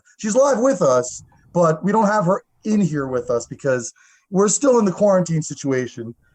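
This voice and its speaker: A man with a Long Island accent speaks at a moderate pace in a high pitch. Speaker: radio host. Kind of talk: radio interview. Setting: radio studio.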